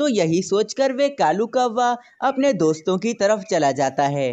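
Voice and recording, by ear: A woman with a slightly mellow tone speaks at a fairly slow pace. Her intonation is lively.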